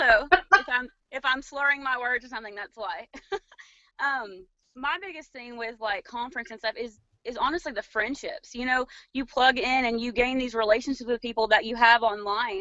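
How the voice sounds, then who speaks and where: At a moderate pace, a woman with a high pitch speaks with big swings in loudness. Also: ordinary pitch variation. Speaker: direct sales distributor. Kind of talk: panel discussion.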